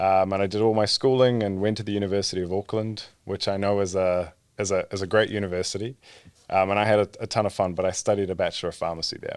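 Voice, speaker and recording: Speaking very fast in a monotone, flat delivery, a man with a New Zealand accent and a fairly low pitch comes through on a very clean recording with a silent background. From New Zealand (born in Egypt). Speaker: startup founder and CEO, trained pharmacist. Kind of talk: podcast interview.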